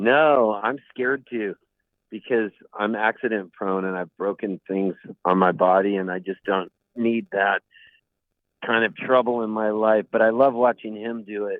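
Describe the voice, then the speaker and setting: A plain, everyday voice moves at a moderate pace with fairly even intonation. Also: man, fairly low pitch for a man. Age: 60s. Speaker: singer-songwriter. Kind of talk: casual chat.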